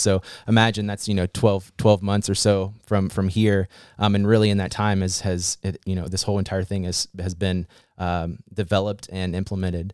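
A normal speaking voice from a man with an American accent, fairly low in pitch, at a fairly quick pace. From West Virginia (Fairmont). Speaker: remote worker program coordinator. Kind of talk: casual interview.

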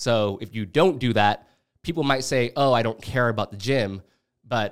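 A plain, everyday voice from a man, pitched in the middle range, moderately paced and with ordinary rise and fall. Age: 20s. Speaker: podcast host. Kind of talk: casual chat.

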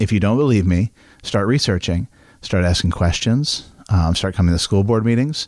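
A man with an American accent and a normal speaking voice, fairly low in pitch, moderate pace, ordinary pitch variation, very even loudness, on a very clean recording with a silent background. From Maine, US (Midcoast). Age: 30s. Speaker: local business owner and school board member. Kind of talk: casual chat.

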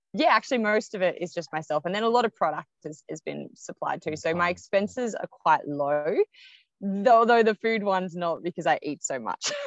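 Speaking with an Australian accent, a woman uses a medium pitch and lively intonation. The sound is dry and close, with no echo. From Melbourne, Australia. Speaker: ultramarathon runner. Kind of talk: interview. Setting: remote call from the road.

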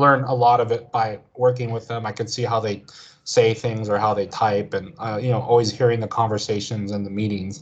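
With an American accent, a man talks at a fairly quick pace in a medium pitch, somewhat breathy and monotone in a flat intonation, against a quiet background. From United States. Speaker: video game industry worker. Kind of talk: casual interview. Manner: halting, many fillers.

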